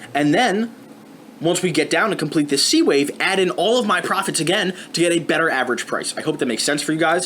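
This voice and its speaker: A very fast man with a high pitch and very even loudness. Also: ordinary pitch variation. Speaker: forex market analyst. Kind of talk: tutorial.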